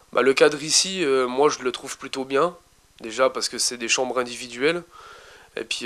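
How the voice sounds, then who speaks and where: Speaking at a moderate pace, a man with a medium pitch keeps his intonation fairly even, in a very clean recording with a silent background. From eastern France (Besançon, Franche-Comté). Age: 20s. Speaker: young resident of a homeless shelter. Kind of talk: interview testimony. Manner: hesitant, many fillers.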